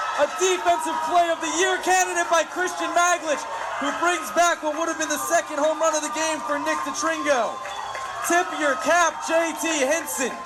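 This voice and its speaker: Over music in the background, a man uses a raised, projected voice at an extremely high pitch with ordinary pitch variation. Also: moderate pace. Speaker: sports broadcaster (play-by-play announcer and interviewer). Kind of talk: baseball play-by-play commentary.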